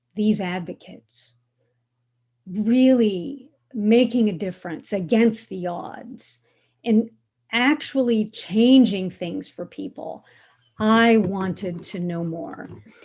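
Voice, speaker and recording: Somewhat breathy, a woman with an American accent and fairly high pitch talks at a very slow pace with long, frequent pauses and ordinary pitch variation, in a very clean recording with a silent background. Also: big swings in loudness. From United States. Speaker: author and human rights scholar. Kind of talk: lecture.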